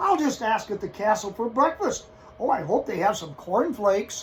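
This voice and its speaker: Over clear background noise, a man does a gruff, high-pitched put-on character voice at a moderate pace. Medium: read story. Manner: gruff, roaring.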